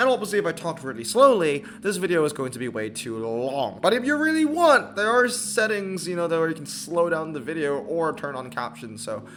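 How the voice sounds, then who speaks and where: Noticeable background noise surrounds a man talking at a fairly quick pace with hardly any pauses, his fairly high voice showing very wide pitch swings and big swings in loudness. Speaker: mobile game content creator. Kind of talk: casual game commentary video. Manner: fast; casual, filler-heavy.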